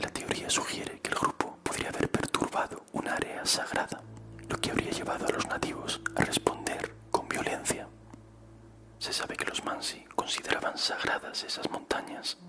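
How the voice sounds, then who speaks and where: Whispering at a moderate pace over noticeable background noise. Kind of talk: whispered ASMR horror story narration. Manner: whispering, soft-spoken.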